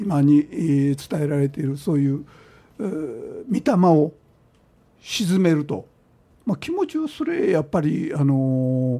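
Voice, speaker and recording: Speaking at a fairly slow pace with long, frequent pauses, a man with a fairly high pitch and a dark, mellow tone uses ordinary pitch variation. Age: 70s. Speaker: Shinto shrine chief priest. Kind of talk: radio interview. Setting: radio studio. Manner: halting, many fillers.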